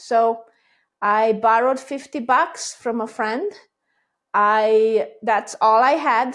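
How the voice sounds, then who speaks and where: A woman with a Hungarian accent speaks at a very slow pace with long, frequent pauses, a fairly high pitch and ordinary pitch variation on a very clean recording with a silent background. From Hungary. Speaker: business owner. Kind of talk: casual chat.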